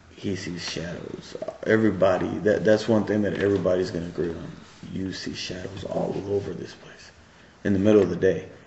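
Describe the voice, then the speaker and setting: A man speaks with a very deep, low pitch at a fairly quick pace, with ordinary pitch variation and big swings in loudness. Room echo is audible, and there is light background noise. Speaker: witness. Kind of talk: interview answer. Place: factory. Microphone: camera far.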